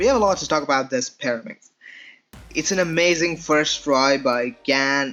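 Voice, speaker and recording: The talking proceeds at a moderate speed. Behind it, music can be heard. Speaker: speedcuber, puzzle reviewer. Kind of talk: casual talk to camera.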